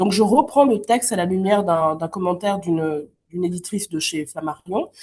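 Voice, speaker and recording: Somewhat breathy and dark, mellow in tone, a woman's voice sits at a medium pitch. She talks at a moderate pace with ordinary pitch variation. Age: 30s. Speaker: novelist and literature teacher. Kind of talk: interview. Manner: hesitant, many fillers.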